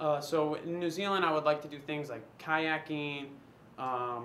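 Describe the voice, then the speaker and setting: Audible room echo and noticeable background noise surround a man with an American accent and a fairly high pitch. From US West Coast, San Diego, California. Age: 20s. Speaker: casting applicant, personal trainer. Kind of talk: casting audition monologue. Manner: halting, many fillers.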